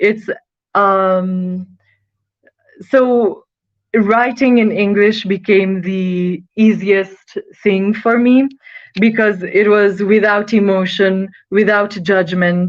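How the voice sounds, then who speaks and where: A woman speaks at a very slow pace with long, frequent pauses, her medium pitch and fairly even intonation matched by very even loudness. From Nepal, Kathmandu. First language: Nepali and Italian. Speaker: student, model and actress. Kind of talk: interview. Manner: halting.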